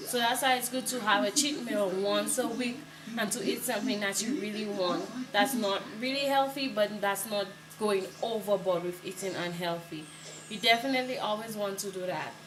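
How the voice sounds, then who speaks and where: Here a woman talks at a moderate pace with a medium pitch and ordinary pitch variation. Audible room echo and noticeable background noise come through. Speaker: vlogger. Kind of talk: tutorial. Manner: mumbling.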